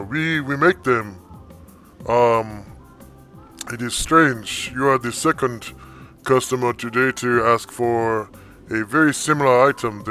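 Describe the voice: A man's booming, put-on character voice at medium pitch and a fairly slow pace, with long, frequent pauses and clear music in the background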